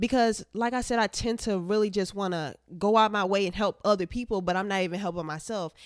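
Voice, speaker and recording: With hardly any pauses, a woman races along at a very fast pace in an animated tone, on a very clean recording with a silent background. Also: medium pitch for a woman, ordinary pitch variation. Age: young. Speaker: podcast host and college student. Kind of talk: casual chat. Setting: at home, filming on camera.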